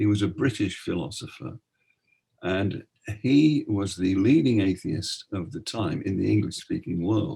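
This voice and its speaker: Lively in intonation, a man with a fairly low pitch and vocal fry talks at a fairly slow pace. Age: 70s. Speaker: retired minister and author. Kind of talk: casual chat.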